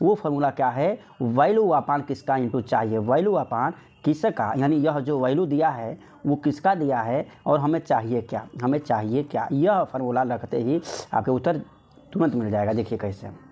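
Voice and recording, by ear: With lively intonation, a man speaks at a medium pitch in a dark, mellow tone. His pace is moderate, with few pauses.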